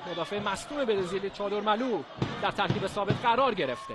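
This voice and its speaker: A man's raised, projected voice at a very fast pace, lively intonation, and noticeable background noise. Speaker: football commentator. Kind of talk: live commentary.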